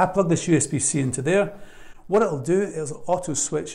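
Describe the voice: A man speaks at a high pitch with vocal fry. His tone is slightly mellow.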